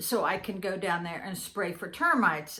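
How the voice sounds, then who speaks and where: Her voice sits at a medium pitch. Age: 60s. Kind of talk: casual talk to camera. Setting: live stream, home.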